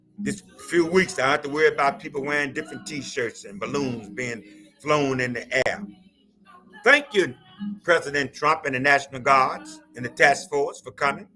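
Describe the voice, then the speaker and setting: Over music in the background, a man talks at a moderate pace and a fairly high pitch, with ordinary pitch variation and big swings in loudness. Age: 70s. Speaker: pastor. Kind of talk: live stream commentary. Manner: impassioned.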